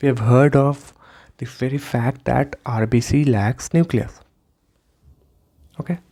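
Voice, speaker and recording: A man's dark, mellow, somewhat breathy voice at medium pitch, fairly slow and fairly even in intonation, with long, frequent pauses. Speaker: medical lecturer. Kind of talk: lecture.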